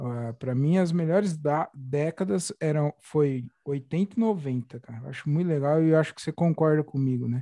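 A man's fairly high voice with a dark, mellow tone, ordinary pitch variation, a moderate pace and hardly any pauses. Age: young. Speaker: podcast host. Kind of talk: casual interview chat.

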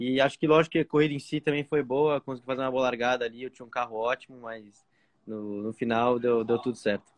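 Talking very fast at a medium pitch, a man keeps his intonation fairly even while his loudness swings widely, in a dry, close sound with no echo. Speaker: racing driver. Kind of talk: casual interview. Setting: remote call from outside a restaurant.

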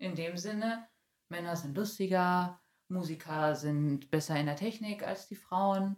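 A woman speaks in a plain, everyday voice with lively intonation. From Germany, Bielefeld (East Westphalia). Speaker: poetry slammer and activist. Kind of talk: interview.

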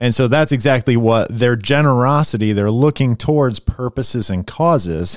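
On a very clean recording with a silent background and a dry, close sound with no echo, a man with a plain, everyday voice and medium pitch speaks at a moderate pace with ordinary pitch variation. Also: hardly any pauses. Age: 40s. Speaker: pastor. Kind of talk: casual chat.

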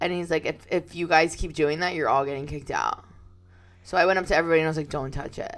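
A woman's monotone, flat delivery at a very fast pace. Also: fairly low pitch for a woman. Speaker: podcast co-host. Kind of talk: casual chat.

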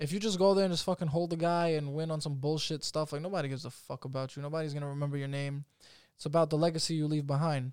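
Talking very fast with fairly even intonation, a man with a New York accent and a fairly high voice is heard in a very clean recording with a silent background. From Staten Island, New York. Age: 20s. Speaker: professional MMA fighter. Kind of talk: casual interview chat.

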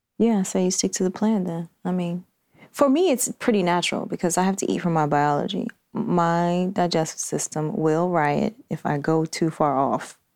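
An ordinary speaking voice at a moderate pace, with ordinary pitch variation on a very clean recording with a silent background. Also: woman, fairly low pitch for a woman. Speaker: health and life coach. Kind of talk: casual chat.

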